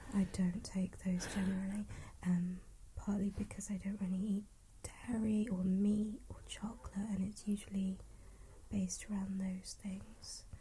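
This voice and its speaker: This woman has a dark, mellow tone, somewhat breathy, at a medium pitch. She talks at a fairly slow pace with monotone, flat intonation. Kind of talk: casual conversation. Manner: soft-spoken.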